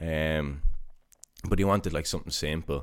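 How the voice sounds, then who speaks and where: The speaker has a Dublin accent, captured in a very clean recording with a silent background. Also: man. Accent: Dublin Irish. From Dublin, Ireland (Coolock, northside). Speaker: barber and artist. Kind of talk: casual interview.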